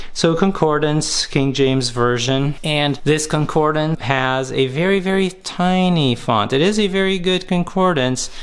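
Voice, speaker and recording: A man with a Portuguese accent and fairly high pitch, fairly slow with hardly any pauses, very even loudness and ordinary pitch variation. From Portugal. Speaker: pastor. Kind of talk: product review.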